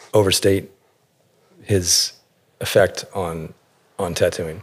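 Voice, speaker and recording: This man's pitch is fairly low. He speaks at a very slow pace. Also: long, frequent pauses. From Alaska and Northern California. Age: 40s. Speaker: tattoo artist. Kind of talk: interview. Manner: thoughtful, measured; hesitant, many fillers.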